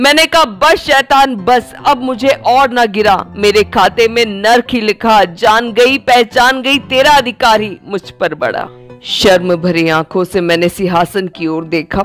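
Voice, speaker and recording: Lively intonation carries the speech while music plays in the background. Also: woman, fairly high pitch for a woman. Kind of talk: spoken-word poetry reading.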